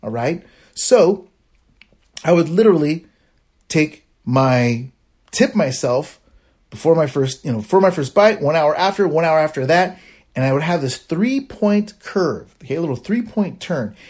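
A man with a high pitch for a man swings very widely in pitch. His speech has long, frequent pauses. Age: 40s. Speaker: diabetes lifestyle podcaster. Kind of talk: solo monologue, casual advice. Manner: fast, animated.

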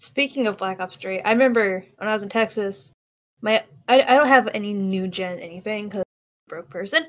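A woman talks at a fairly quick pace with big swings in loudness. Hers is a normal speaking voice at medium pitch. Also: ordinary pitch variation. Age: 20s. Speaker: student and grocery worker. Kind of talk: casual chat.

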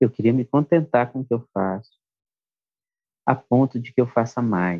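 Soft-spoken and fairly slow, a man talks in a dark, mellow tone with long, frequent pauses. The sound is dry and close with no echo. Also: medium pitch for a man, ordinary pitch variation. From Brasília, Brazil. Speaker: musician and songwriter. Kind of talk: interview conversation. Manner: calm, soft-spoken.

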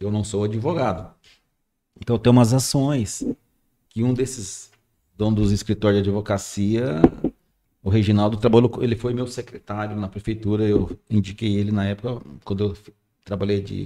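Speaking with a dark, mellow tone and fairly even intonation, this voice leaves long, frequent pauses. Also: man, moderate pace. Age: 60s. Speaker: radio station manager. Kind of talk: casual chat.

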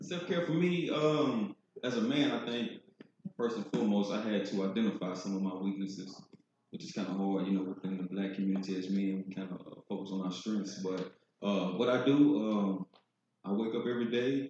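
A fairly low-pitched man's voice at a fairly quick pace, with ordinary pitch variation and an ordinary speaking voice. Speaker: life coach. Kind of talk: panel discussion. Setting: live event with audience.

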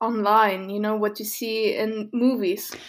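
A woman talks at a fairly slow pace in a plain, everyday voice, pitched fairly high. Her intonation stays fairly even, and the recording is very clean with a silent background. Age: 20s. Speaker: podcast co-host. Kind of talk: casual chat.

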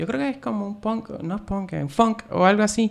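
The man here speaks at a moderate pace. His intonation is lively. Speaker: YouTube film reviewer. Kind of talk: casual interview.

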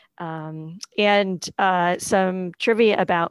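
In an American accent, a woman has an unremarkable speaking voice at medium pitch with fairly even intonation, recorded dry and close with no echo, very clean with a silent background. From New England, outside Boston. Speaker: union staffer. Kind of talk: casual chat.

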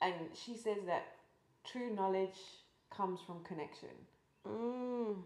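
At a very slow pace, a woman with a medium pitch and fairly even intonation speaks with long, frequent pauses. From England, near Cambridge. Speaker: artist and podcast host. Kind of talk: interview conversation.

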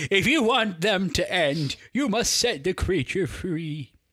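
An unforced reading voice with lively intonation

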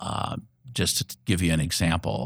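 This man has a very deep, low pitch with vocal fry and an American accent. The sound is dry and close, with no echo. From Indianapolis, Indiana, US Midwest. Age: 60s. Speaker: community organizer and retired engineer. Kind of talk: interview. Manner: halting, many fillers.

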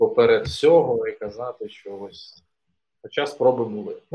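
A man at a fairly slow pace. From eastern Ukraine (Donetsk region). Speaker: co-founder of an innovation platform. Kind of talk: interview. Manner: hesitant, many fillers.

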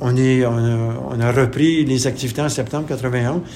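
A man talks at a fairly slow pace and a medium pitch with fairly even intonation. Audible room echo and noticeable background noise surround him. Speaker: retired community organization director. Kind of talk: interview testimony. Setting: radio studio.

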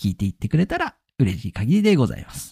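A man with very wide pitch swings on a very clean recording with a silent background and a dry, close sound with no echo. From Akita, Japan. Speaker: podcast host. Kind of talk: solo podcast monologue.

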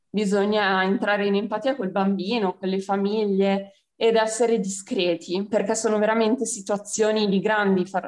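Flat, monotone delivery at a moderate pace with hardly any pauses. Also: woman. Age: 20s. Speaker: civil service volunteer. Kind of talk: radio interview.

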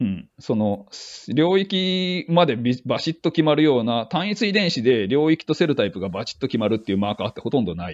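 At a fairly quick pace, a man with medium pitch talks with very wide pitch swings. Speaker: neuroscience team leader. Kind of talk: casual interview. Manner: halting with frequent fillers.

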